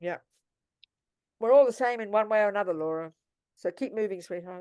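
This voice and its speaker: With an Australian accent, a woman talks at a fairly quick pace and medium pitch. Her tone is dark and mellow, with ordinary pitch variation. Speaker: Buddhist nun and teacher. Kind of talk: dharma talk with Q&A. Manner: animated.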